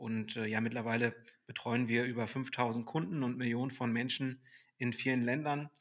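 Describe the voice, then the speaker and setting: This is a man speaking. He keeps a moderate pace. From Hamburg, northern Germany. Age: 30s. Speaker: sales director at a fitness software company. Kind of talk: podcast interview. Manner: hesitant, many filler sounds.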